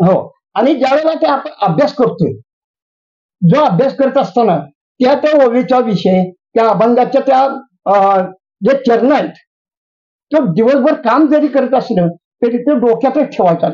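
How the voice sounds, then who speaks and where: The voice has a dark, mellow tone, lively intonation and very even loudness. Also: man, extremely high pitch for a man. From Maan Taluka, Maharashtra, India. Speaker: farmer and pravachan speaker. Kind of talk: interview answer.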